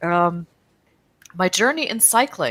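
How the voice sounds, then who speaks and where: In an American accent, an ordinary speaking voice moves at a moderate pace, with a dry, close sound with no echo. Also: woman. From US Midwest, Chicago area. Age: middle-aged. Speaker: cycling advocacy organization executive. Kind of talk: interview. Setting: video call.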